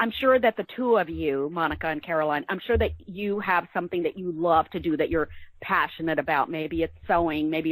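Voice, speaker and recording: A woman speaks in a normal speaking voice, fairly low in pitch, with lively intonation at a moderate pace. The recording is very clean and dry, close with no echo, over a silent background. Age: 60s. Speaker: novelist. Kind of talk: interview.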